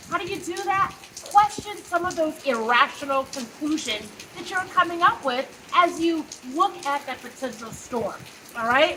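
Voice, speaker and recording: Raised and projected over noticeable background noise, a woman's extremely high voice moves at a moderate pace with lively intonation and big swings in loudness. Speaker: psychologist. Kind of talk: motivational talk. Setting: outdoors.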